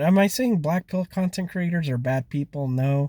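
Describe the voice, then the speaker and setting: A man's somewhat breathy voice has a dark, mellow tone, recorded very cleanly against a silent background with a dry, close sound and no echo. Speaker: dating advice commentator. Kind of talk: casual talk to camera.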